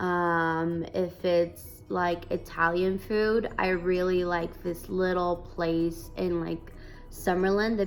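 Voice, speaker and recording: With a Spanish accent, a woman speaks very slowly in a fairly low pitch, her intonation fairly even and hardly any pauses, while music plays in the background. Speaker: vlogger. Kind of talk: casual Q&A vlog.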